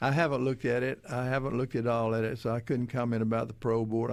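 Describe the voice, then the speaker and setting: This man talks at a very fast pace and a medium pitch. His intonation is monotone and flat. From western Louisiana. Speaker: prison commissioner. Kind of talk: radio interview.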